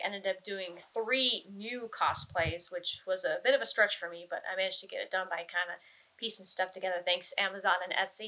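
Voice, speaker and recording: A woman with a normal speaking voice talks at a fairly quick pace. Her pitch is medium, with ordinary pitch variation. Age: 30s. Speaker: cosplayer. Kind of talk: casual chat.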